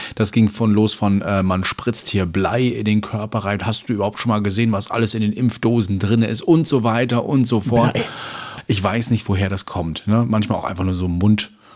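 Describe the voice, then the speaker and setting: A man talks at a moderate pace. Noticeable background noise can be heard. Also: fairly low pitch for a man, fairly even intonation. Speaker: podcast co-host. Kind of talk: casual chat. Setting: home studio.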